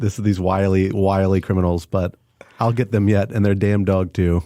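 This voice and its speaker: Music plays in the background as a man with a fairly low pitch talks at a moderate pace. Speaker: podcast co-host. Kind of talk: casual chat. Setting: studio. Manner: animated.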